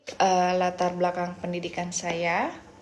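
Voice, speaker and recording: A woman is talking. Her voice sits fairly low in pitch. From Indonesia, Pandeglang, Banten. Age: 30s. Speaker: job applicant, sales representative. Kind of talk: self-introduction video. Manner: halting, many fillers.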